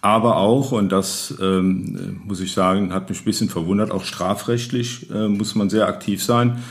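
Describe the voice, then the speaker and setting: In an ordinary speaking voice, a man with a fairly low pitch talks at a fairly slow pace, with fairly even intonation and hardly any pauses. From Rhineland, Neuwied-Irlich. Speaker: local historian and retired city lawyer. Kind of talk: interview. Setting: historic building, table with microphones.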